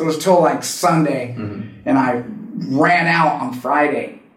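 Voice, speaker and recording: Over noticeable background noise, a man with an American accent speaks at a fairly high pitch. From California, Santa Cruz. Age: 40s. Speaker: professional skateboarder in recovery. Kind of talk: casual interview, personal story.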